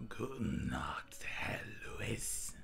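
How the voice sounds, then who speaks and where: A man whispers in a put-on character voice, breathy and raspy, over clear background noise. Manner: breathy, as if exhaling the words.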